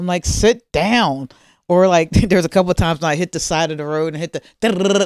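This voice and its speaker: A woman with an American accent and a normal speaking voice, fairly low in pitch, with ordinary pitch variation at a moderate pace. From Maryland. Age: 50s. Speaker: comedian. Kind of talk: casual chat. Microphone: not close enough to mic.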